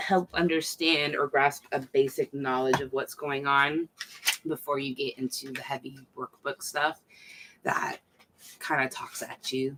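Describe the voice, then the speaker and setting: A soft-spoken, mumbling woman at a fairly slow pace, in a dry, close sound with no echo. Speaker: mental health vlogger. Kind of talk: casual livestream talk. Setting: home night stream. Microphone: far from the mic.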